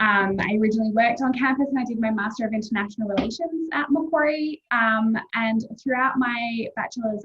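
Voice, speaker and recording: A woman talks at a fairly quick pace with an Australian accent. Her pitch is fairly high. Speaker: university admissions representative. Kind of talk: informal presentation.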